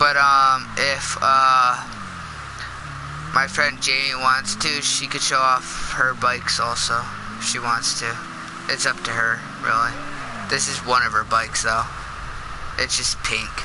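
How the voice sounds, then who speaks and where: A man with a medium-pitched voice talks at a fairly slow pace in a flat monotone, with long, frequent pauses and noticeable background noise. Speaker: gaming live streamer. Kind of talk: casual live stream gameplay commentary. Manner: halting, many fillers.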